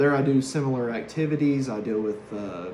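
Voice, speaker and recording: A man speaks with an East Tennessee accent at a moderate pace, his pitch varying in an ordinary way. Noticeable background noise and audible room echo are present. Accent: Southern US (East Tennessee). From US South, East Tennessee (Harriman). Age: 30s. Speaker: hazardous waste worker, former correctional officer. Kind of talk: class introduction speech. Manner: hesitant, with many fillers.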